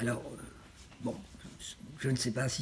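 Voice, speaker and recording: The voice has a dark, mellow tone and sounds somewhat breathy. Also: woman. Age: 80s+. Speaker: president of a European civic association, former minister. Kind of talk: interview answer.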